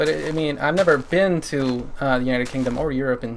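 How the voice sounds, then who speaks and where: A man at medium pitch, fairly quick pace and ordinary pitch variation, with noticeable background noise. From Canada. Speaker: gaming streamer. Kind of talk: casual chat while livestreaming a game. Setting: livestream. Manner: halting, many fillers.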